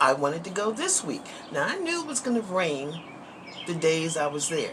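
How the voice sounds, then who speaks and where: A woman's medium-pitched voice with very wide pitch swings at a moderate pace, amid audible room echo and noticeable background noise. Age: 60s. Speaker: vlogger. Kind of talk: casual chat. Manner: conversational, frequent filler words.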